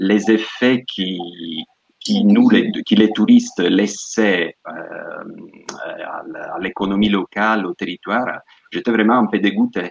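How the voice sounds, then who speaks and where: A man with an Italian accent talks at a fairly slow pace. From Sicily, Italy. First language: Italian (speaking French). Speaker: tour guide and yoga teacher. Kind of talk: interview. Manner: halting.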